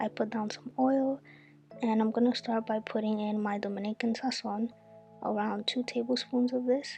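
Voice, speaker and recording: A woman speaks at a moderate pace with fairly even intonation and a fairly high pitch. Music plays in the background. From Dominican Republic. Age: 20s. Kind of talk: cooking tutorial talk to camera.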